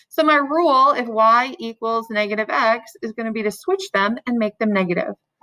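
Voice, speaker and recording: A woman speaks with a fairly high pitch and lively intonation. Her tone is bright and sharp, with a dry, close sound and no echo. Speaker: math teacher. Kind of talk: lecture. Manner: fast.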